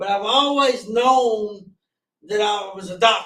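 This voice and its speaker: A man with a strong Southern US accent speaks loudly at a moderate pace, his pitch extremely high, with ordinary pitch variation. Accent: strong rural Southern, mountain country. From US South, Gaston County, North Carolina. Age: 40s. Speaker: guest sharing recovery story. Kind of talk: testimony.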